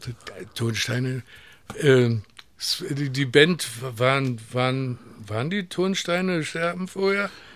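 With lively intonation and a fairly high pitch, a man speaks at a very slow pace, leaving long, frequent pauses. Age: 80s+. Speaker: sound engineer and music producer. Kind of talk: casual interview. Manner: halting.

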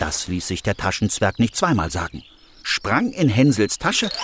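Over noticeable background noise, a man with a calm, gentle tone speaks at a very slow pace with very wide pitch swings. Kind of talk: fairy tale narration. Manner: calm, gentle storytelling pace.

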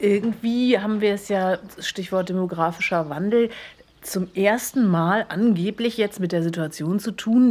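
A woman's plain, everyday voice with ordinary pitch variation, on a very clean recording with a silent background. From Berlin. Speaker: podcast co-host. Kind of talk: casual chat.

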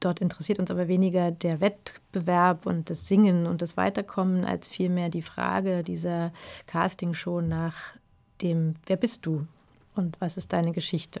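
Delivered at a moderate pace in a monotone, flat intonation, the speech comes on a very clean recording with a silent background. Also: woman, fairly low pitch for a woman. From Berlin, eastern Germany. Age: 40s. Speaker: film director. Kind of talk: interview.

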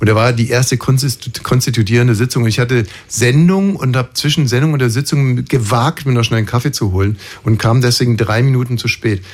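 Against noticeable background noise, a man speaks at a fairly quick pace. His loudness stays very even, and his pitch varies in an ordinary way. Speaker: radio host. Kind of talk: casual chat.

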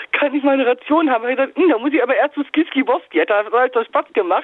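The woman's voice is high and her intonation lively. She speaks at a very fast pace. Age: 30s. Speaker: caller. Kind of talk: phone-in storytelling.

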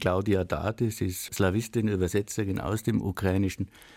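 A man's fairly low voice with a dark, mellow tone and fairly even intonation, dry and close with no echo. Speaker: literary institution co-host. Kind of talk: literary discussion. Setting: radio studio.

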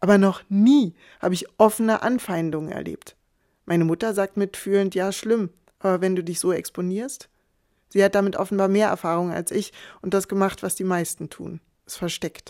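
A woman's dark, mellow voice at a moderate pace, fairly even in intonation yet with big swings in loudness, in a very clean, dry, close recording with no echo and a silent background. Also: medium pitch for a woman. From eastern Germany. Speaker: author and columnist. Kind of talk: scripted narration.

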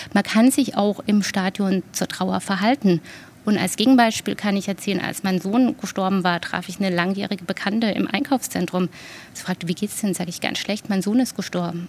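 A woman's ordinary speaking voice at a medium pitch, moderate pace and ordinary pitch variation. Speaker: grief counsellor. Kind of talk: interview.

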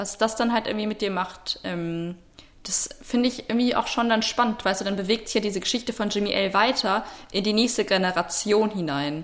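A woman speaks at a medium pitch and a fairly quick pace. Noticeable background noise sits behind her. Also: ordinary pitch variation. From Potsdam, Brandenburg, Germany. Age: 20s. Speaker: student podcast host. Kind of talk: casual chat. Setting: remote, audio-only link. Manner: hesitant, many fillers.

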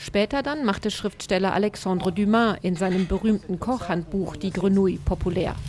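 A woman speaks at a moderate pace and medium pitch, with ordinary pitch variation and very even loudness. She barely pauses, and there is noticeable background noise. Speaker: radio reporter. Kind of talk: scripted narration.

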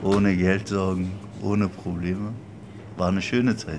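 At a fairly slow pace, a man speaks with a fairly low pitch and monotone, flat intonation. Audible room echo and noticeable background noise surround him. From Berlin. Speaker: interpreter for the shop owner. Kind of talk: interview.

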